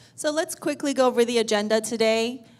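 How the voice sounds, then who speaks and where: Noticeable background noise accompanies a woman whose fairly high voice moves at a moderate pace with ordinary pitch variation. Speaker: accountant. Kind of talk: seminar presentation. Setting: stage with audience. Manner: loud.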